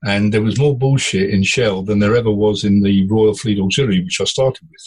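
A man's fairly low, somewhat breathy voice with ordinary pitch variation. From India and Africa. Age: 70s. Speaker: former ship captain and coach. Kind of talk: casual interview.

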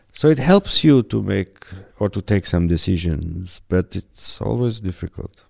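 Recorded very cleanly against a silent background, a man with a fairly low pitch and an ordinary speaking voice talks at a fairly slow pace in a dry, close sound with no echo. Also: lively intonation. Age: 50s. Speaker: perfumer. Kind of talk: interview.

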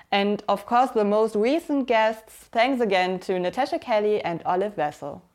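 A woman's fairly high voice in a German accent, moderate pace and lively intonation, on a very clean recording with a silent background. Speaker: podcast host. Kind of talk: interview.

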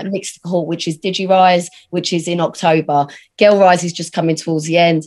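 With a British accent, a woman speaks at a fairly low pitch and moderate pace, with fairly even intonation over a quiet background. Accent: regional British, noticeable. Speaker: digital agency founder and entrepreneur. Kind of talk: casual interview chat.

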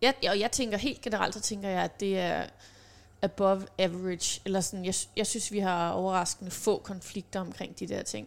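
This woman has a plain, everyday voice at a medium pitch, speaking at a moderate pace on a very clean recording with a silent background. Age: 30s. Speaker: self-employed mother, podcast guest. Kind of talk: casual chat.

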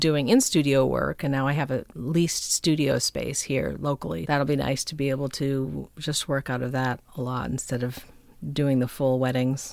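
With an American accent, a woman speaks at a moderate pace in a very deep, low voice. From Minnesota, suburb of Minneapolis. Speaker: musician and photographer. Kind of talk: casual interview. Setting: home recording studio.

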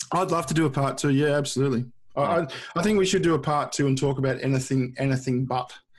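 A man with an Australian accent, fairly high in pitch and somewhat breathy, at a very fast pace with ordinary pitch variation and very even loudness. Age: 30s. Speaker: YouTuber. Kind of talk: casual chat. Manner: halting, many repeated words.

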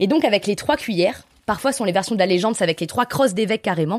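A woman's very fast speech with lively intonation. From Aubrac, Lozère side (Nasbinal), southern France. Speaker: tour guide and storyteller. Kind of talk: storytelling.

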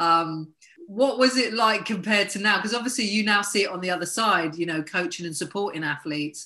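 Over noticeable background noise, the speech runs at a fairly quick pace with ordinary pitch variation. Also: woman, medium pitch for a woman. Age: 50s. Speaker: podcast host and life coach. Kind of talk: interview.

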